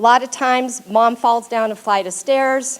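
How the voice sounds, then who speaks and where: A woman speaks loudly. Her pitch is high. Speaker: paralegal. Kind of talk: presentation to audience.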